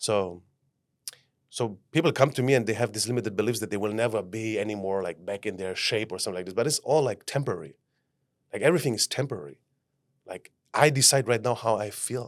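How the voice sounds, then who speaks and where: A man with a German accent and a fairly low voice, very fast pace with long, frequent pauses, ordinary pitch variation, very clean recording on a silent background. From Germany. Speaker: life mentor. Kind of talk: podcast interview. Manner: animated.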